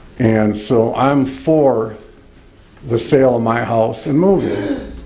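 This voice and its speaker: A man speaks at medium pitch with ordinary pitch variation. Audible room echo surrounds his voice. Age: 60s. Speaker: resident speaking at public comment. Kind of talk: public comment at township meeting. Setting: township board meeting. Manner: halting.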